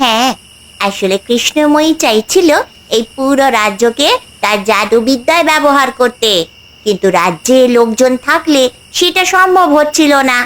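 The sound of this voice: This cartoonish character voice sounds female, pitched high and delivered at a moderate pace.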